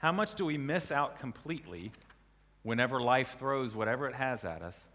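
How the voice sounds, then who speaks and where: A man speaks with an American accent at a medium pitch and a moderate pace. His tone is bright and sharp, with lively intonation. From US South. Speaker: preacher. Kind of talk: sermon.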